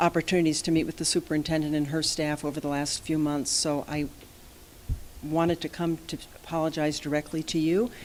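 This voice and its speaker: Soft-spoken and fairly low-pitched, a woman talks fairly quickly in a flat, monotone way. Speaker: company president addressing a school board. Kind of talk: formal presentation and apology to a board. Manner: quiet, soft-spoken. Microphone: too quiet.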